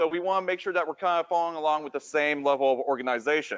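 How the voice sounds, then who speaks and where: A man is speaking. His voice is loud. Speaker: 3D modeling instructor. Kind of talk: lecture.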